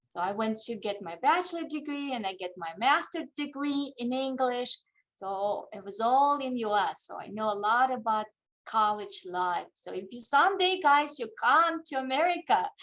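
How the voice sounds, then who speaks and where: A woman with a high pitch and a Russian accent at a moderate pace, with very wide pitch swings and big swings in loudness. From Kazakhstan. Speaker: English teacher. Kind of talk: talk to students over video call. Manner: halting.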